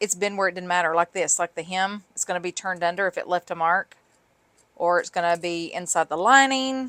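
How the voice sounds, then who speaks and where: With a Southern US accent, a woman speaks at a fairly quick pace in a bright, sharp tone, fairly low in pitch with ordinary pitch variation. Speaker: sewing and craft video creator. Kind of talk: tutorial; casual chat. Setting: home craft room. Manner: casual, rambling with fillers.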